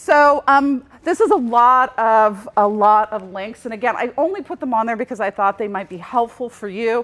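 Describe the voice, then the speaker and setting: Woman with an ordinary speaking voice, fairly high pitch, ordinary pitch variation, big swings in loudness and a moderate pace. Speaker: journalism professor. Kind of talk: conference presentation.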